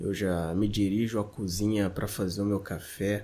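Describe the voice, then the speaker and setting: A fairly low male voice, dark and mellow in tone, at a fairly slow pace. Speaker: podcaster. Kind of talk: casual monologue.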